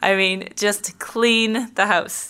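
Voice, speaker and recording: A woman with a St. Louis accent speaks fairly slowly in a bright, sharp tone with monotone, flat intonation. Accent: Midwestern American (St. Louis). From St. Louis, Missouri (South County). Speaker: real estate agent. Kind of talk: casual interview.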